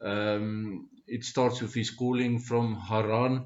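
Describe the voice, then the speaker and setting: A man speaks with a South African accent in a fairly low pitch. His pace is very slow. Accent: Afrikaans-accented English. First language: Afrikaans. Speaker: Bible study speaker. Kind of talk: informal Bible teaching talk. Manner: halting, many fillers.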